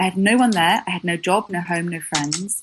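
Somewhat breathy, a woman with a southern English accent speaks with ordinary pitch variation. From southern England. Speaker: copywriter and business founder. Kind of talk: interview.

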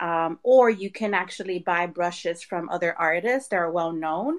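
The voice is an unremarkable speaking voice. It moves at a moderate pace. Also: woman. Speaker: artist. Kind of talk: casual chat. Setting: live online audio room.

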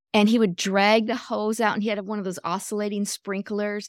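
A woman with an American accent speaks at a moderate pace in a flat monotone. The recording is very clean, dry and close, with a silent background and no echo. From US Midwest (Michigan). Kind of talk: casual chat.

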